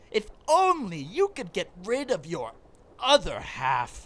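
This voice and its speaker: In a put-on character voice, the speaker talks at a fairly high pitch and a fairly slow pace. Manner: pompous, theatrical.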